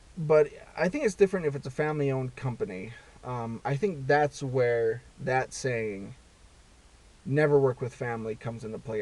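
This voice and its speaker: Lively intonation marks this man's medium-pitched voice as he talks at a moderate pace. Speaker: vlogger. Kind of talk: casual monologue. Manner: halting, many fillers and repeats.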